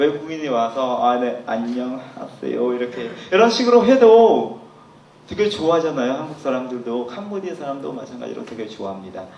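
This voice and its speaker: Very wide pitch swings mark this speech with a Cambodian accent, heard over noticeable background noise and audible room echo. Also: man. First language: Khmer (speaking Korean). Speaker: language teacher. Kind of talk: lecture.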